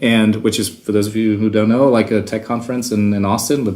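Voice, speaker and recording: At a fairly quick pace, a man talks in a fairly low pitch with fairly even intonation. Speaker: games company executive. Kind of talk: casual chat.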